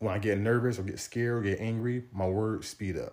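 A man speaks in a dark, mellow tone that is somewhat breathy. His intonation is monotone and flat. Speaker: podcast host and fitness coach. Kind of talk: solo motivational monologue. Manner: informal, repeats words and stumbles.

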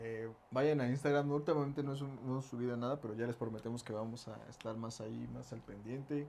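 A man with a Mexican accent, medium pitch and fairly even intonation, at a fairly quick pace. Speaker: podcast co-host and band musician. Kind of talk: casual chat.

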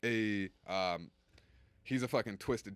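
The recording is very clean, with a silent background. A man speaks with fairly even intonation. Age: 20s. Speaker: stand-up comedian. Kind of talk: casual chat.

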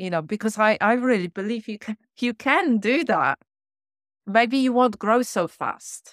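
With a non-native accent, a woman speaks at a fairly slow pace in a fairly high pitch with lively intonation, in a dry, close sound with no echo on a very clean recording with a silent background. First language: not English. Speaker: podcast host. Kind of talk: interview conversation.

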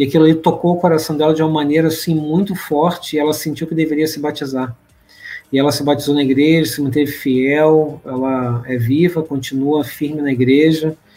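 With fairly even intonation and a fairly high pitch, a man talks at a fairly quick pace amid noticeable background noise. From Brazil, Rio de Janeiro. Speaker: church leader and returned missionary. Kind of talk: podcast interview.

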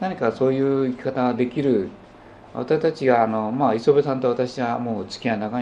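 This man's voice sits at medium pitch, with a dark, mellow tone and fairly even intonation. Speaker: potter and spiritual teacher. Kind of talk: lecture. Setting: small gathering in a private home.

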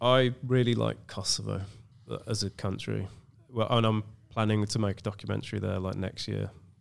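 Speaking at a moderate speed, a man has an English accent. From England. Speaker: film director. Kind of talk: casual chat. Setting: studio.

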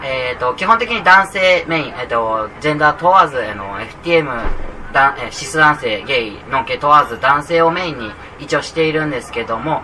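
A man with a fairly high pitch talks at a moderate pace with lively intonation and big swings in loudness, over noticeable background noise. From Kagoshima, Japan. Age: 20s. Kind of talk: live interview. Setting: public recording in a cafe with audience. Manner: halting.

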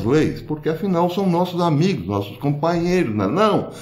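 Audible room echo surrounds a man's voice. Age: old. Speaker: political commentary youtuber. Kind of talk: video monologue commentary.

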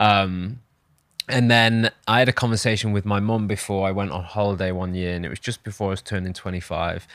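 Over a very clean recording with a silent background, a man with a British accent talks at a fairly quick pace. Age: 30s. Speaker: personal branding agency founder. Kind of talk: podcast interview. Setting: studio.

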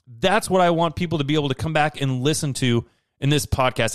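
An energetic tone, very fast pace and lively intonation. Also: man. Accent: American. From Idaho, US. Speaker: podcast host, self-improvement speaker. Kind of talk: motivational monologue.

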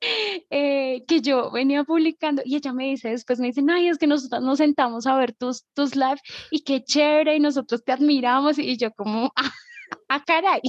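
Here a woman speaks at a moderate pace in a high voice with ordinary pitch variation. The sound is dry and close, with no echo. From Colombia, Bogotá. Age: 20s. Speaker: nudist community organizer, actress and dancer. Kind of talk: casual interview.

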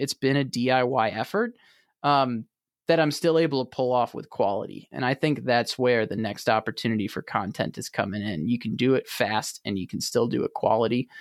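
An unremarkable speaking voice from a man, medium in pitch, fairly quick in pace, with ordinary pitch variation, on a very clean recording with a silent background and a dry, close sound with no echo. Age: 30s. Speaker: manufacturing podcaster and former sales rep. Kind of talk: podcast interview.

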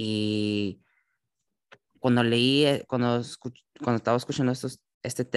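A man's medium-pitched voice with fairly even intonation, dry and close with no echo, on a very clean recording with a silent background. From California, San José. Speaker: church youth Bible discussion host. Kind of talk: Bible study conversation. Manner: halting, with many fillers.

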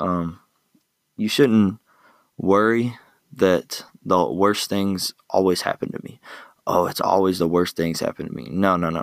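A man's very deep, low voice with ordinary pitch variation and long, frequent pauses. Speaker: podcast host. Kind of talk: solo motivational talk. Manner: casual, conversational, filler-heavy.

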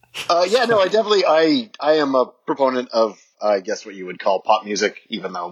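A man talks at a fairly quick pace with lively intonation in an unremarkable speaking voice. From Ontario, Canada.

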